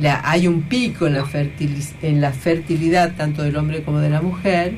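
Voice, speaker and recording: The speaker goes at a moderate pace with ordinary pitch variation. Audible room echo and noticeable background noise fill the recording. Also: woman. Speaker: radio host. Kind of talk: radio talk show and interview.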